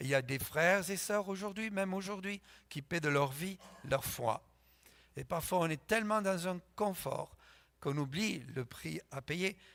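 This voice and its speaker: With long, frequent pauses, a high-pitched man speaks at a fairly slow pace with ordinary pitch variation in a very clean recording with a silent background. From France. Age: 70s. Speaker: pastor. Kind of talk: sermon.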